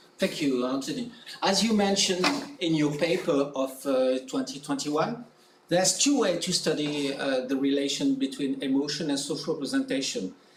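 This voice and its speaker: A man with a French accent and a fairly high pitch, amid audible room echo and noticeable background noise. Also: lively intonation, moderate pace, very even loudness. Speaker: academic presenter. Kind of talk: conference presentation; conference Q&A answer.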